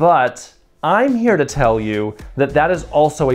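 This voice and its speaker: Backed by faint music, a man talks fairly slowly. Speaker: video creator. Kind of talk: casual explainer vlog. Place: home room. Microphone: lapel.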